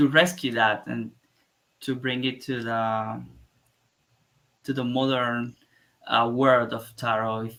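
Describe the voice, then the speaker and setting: In a Spanish accent, a man talks at a very slow pace with long, frequent pauses, using a medium pitch, fairly even intonation and a bright, sharp tone. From Cuba. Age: 30s. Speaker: artist and tarot illustrator. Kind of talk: interview. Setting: live stream. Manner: halting.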